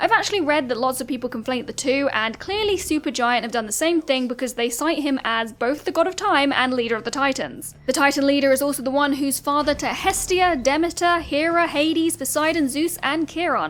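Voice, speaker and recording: Over noticeable background noise, a woman with a high pitch talks at a fairly quick pace with hardly any pauses and ordinary pitch variation. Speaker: gaming content creator. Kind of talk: video essay voiceover. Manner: fast; stiff.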